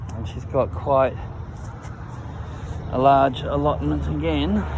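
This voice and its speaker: A man with an Australian accent speaks very slowly in a very deep, low voice, his pitch swinging very widely. Noticeable background noise and audible room echo fill the recording. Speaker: history video maker touring a cemetery. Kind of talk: walking tour commentary. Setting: outdoors in a cemetery.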